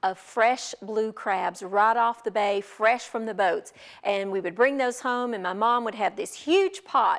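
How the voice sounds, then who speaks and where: In a quiet background, a woman speaks at a fairly slow pace with ordinary pitch variation. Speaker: cooking show host. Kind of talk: tutorial. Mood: warm, nostalgic storytelling. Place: studio. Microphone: lapel.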